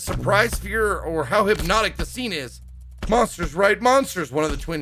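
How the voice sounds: Lively intonation in a natural reading voice.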